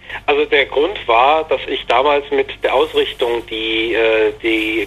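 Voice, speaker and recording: A man speaks over noticeable background noise. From Bavaria, Germany. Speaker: games journalist. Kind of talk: interview. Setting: phone call. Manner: hesitant, many fillers.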